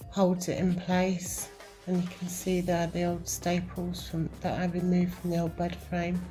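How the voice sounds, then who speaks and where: A woman speaks at a fairly slow pace with a British accent. Music plays in the background. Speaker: van camper. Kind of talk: home video voiceover. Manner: slow, hesitant.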